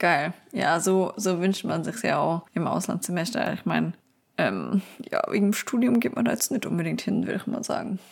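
A woman's lively intonation at a moderate pace. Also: medium pitch for a woman. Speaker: podcast host and university student. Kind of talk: casual chat. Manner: animated.

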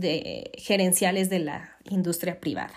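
The woman has a Mexican accent. She speaks at a very slow pace. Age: 20s. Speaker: podcast host, SAP consultant. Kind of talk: solo podcast monologue.

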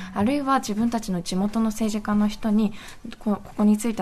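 A woman with a fairly high pitch and a somewhat breathy voice speaks at a very fast pace. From Nagasaki, Japan. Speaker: anti-nuclear activist. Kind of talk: interview.

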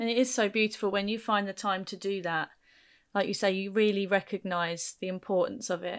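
Medium pitch from a woman with a southern English accent, fairly quick in pace, on a very clean recording with a silent background. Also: fairly even intonation. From Kent, England. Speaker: podcast host and teacher. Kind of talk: interview.

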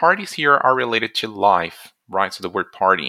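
With a Portuguese accent, a man talks at a moderate pace and medium pitch in a bright, sharp tone, on a very clean recording with a silent background. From Brazil. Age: 20s. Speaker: language teacher. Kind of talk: language lesson.

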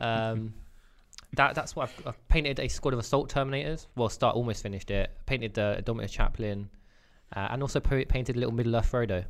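Speaking at a fairly quick pace, a man with a British accent has a medium pitch. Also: ordinary pitch variation. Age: 20s. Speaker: podcast co-host. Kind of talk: casual chat.

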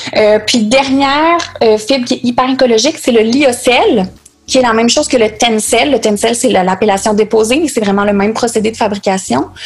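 Noticeable background noise behind a woman with a Quebec accent, her fairly high pitch showing ordinary variation at a moderate pace. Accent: Québécois French. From Quebec City, Quebec. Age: 20s. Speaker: sustainable fashion designer and entrepreneur. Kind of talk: interview.

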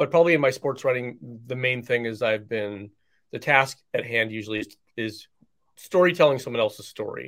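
A man with a plain, everyday voice and an American accent speaks at a fairly quick pace and medium pitch. The recording is very clean, with a silent background. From US East Coast. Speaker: author and sports writer. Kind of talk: interview conversation.

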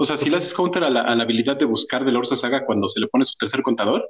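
A man talks at a very fast pace. He speaks with a Mexican accent. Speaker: podcast co-host. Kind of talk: casual chat.

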